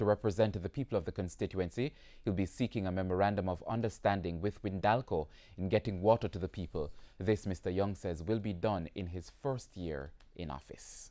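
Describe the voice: A man with a dark, mellow tone and low pitch talks at a fairly quick pace, with ordinary pitch variation and few pauses.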